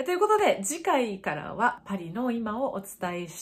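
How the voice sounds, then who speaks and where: Speaking at a moderate pace, the woman sounds somewhat breathy. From Japan. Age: 40s. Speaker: tour guide and YouTuber; travel guide vlogger. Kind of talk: announcement to viewers. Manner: polite, chatty. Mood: cheerful, warm sign-off. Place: home room.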